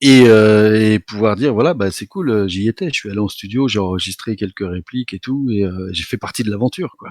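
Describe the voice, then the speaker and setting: Using an ordinary speaking voice, a man talks at a fairly quick pace with hardly any pauses, a fairly low pitch and ordinary pitch variation. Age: 50s. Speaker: author of an illustrated book series. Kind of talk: interview. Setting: live online event.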